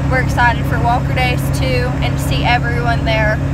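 A woman speaks at a moderate pace against loud background noise. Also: dry sound with no echo. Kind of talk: casual vlog chat. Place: car. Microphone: phone near.

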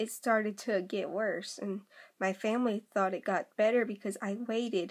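Against a quiet background, a woman speaks at a fairly slow pace with fairly even intonation. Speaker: vlogger. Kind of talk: casual vlog chat, personal story. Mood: earnest, opening up. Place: home room. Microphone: phone near.

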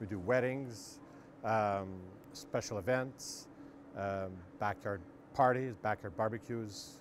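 A man talks fairly slowly at a fairly low pitch, with ordinary pitch variation. The sound is dry with no echo, and there is light background noise. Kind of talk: interview answer. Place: street. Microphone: lapel.

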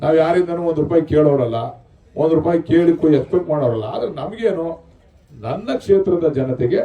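The man's pitch rises and falls in an ordinary way. His voice sits fairly high. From rural Karnataka, India. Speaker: politician, state legislator. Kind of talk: public speech at a sports event.

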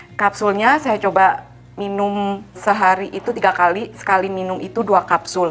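Amid light background noise, a woman talks at a moderate pace in a medium pitch with fairly even intonation. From Indonesia, Cilacap (Central Java); Central Java, Indonesia. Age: 40s. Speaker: product testimonial giver. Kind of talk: testimony; interview answer. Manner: casual, hesitant with fillers. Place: studio.

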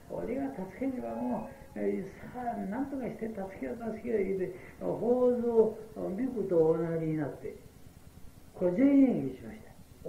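With very wide pitch swings, a man speaks at a fairly slow pace in a high pitch for a man, and audible room echo surrounds his voice. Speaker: Buddhist priest giving a sermon; prison chaplain. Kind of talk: Buddhist sermon at a memorial service. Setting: old cassette tape recording, hard to hear. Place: hall. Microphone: old recording.

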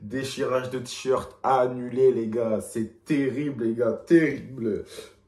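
This man talks at a medium pitch with fairly even intonation. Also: slightly mellow tone.

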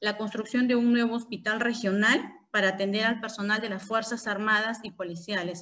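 A woman speaks at a moderate pace with a fairly high pitch and fairly even intonation against a quiet background. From Peru. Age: 30s. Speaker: congressional candidate; candidate. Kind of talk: interview. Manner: halting, with many fillers. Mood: earnest, personal. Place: home room. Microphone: video call.

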